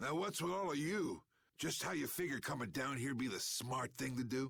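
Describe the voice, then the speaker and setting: A man puts on a raspy character voice at a medium pitch with ordinary pitch variation. He keeps a moderate pace and very even loudness. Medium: video game. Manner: smooth, glib.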